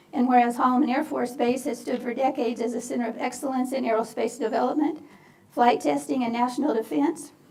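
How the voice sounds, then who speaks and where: A woman with a high voice and ordinary pitch variation talks at a very fast pace amid noticeable background noise. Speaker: county commissioner. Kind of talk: reading aloud proclamations at a public meeting. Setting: county commission meeting. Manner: halting, stumbles on words.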